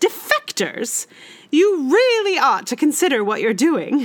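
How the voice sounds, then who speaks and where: A put-on character voice growls at a moderate pace. Its pitch swings very widely. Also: female-sounding voice, high pitch for a woman. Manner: angry, scolding, growling.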